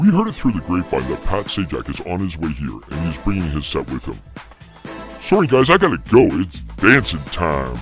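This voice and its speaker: A put-on character voice speaks at a moderate pace while clear music plays in the background. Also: man, very deep, low pitch for a man. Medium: audio drama. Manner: matter-of-fact, wry.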